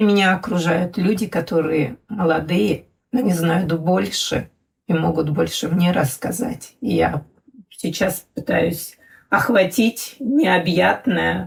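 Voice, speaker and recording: Speaking very slowly, a woman with a fairly low pitch and vocal fry uses lively intonation while keeping her loudness very even. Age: 60s. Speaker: mother of an LGBT child. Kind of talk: podcast conversation.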